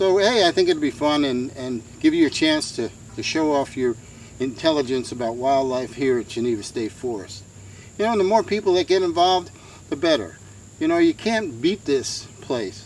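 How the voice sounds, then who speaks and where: A man with an American accent speaks at a moderate pace in a fairly high pitch. His pitch swings very widely. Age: 60s. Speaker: outdoors video show host. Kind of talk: casual nature vlog narration.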